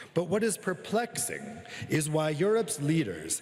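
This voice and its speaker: Very wide pitch swings mark this voice with an American accent, heard over noticeable background noise. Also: man. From United States. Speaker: journalist and author giving a talk. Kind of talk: conference keynote speech. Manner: formal.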